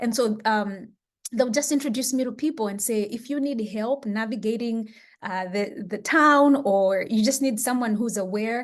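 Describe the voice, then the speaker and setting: Fairly even intonation in a Malawian accent against a quiet background. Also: woman. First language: Chichewa. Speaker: education researcher. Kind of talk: interview.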